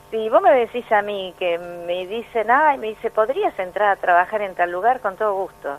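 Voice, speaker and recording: A woman speaks at a moderate pace with hardly any pauses, medium pitch, and lively intonation. Music plays in the background. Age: 60s. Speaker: pension and social security expert. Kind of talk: radio interview.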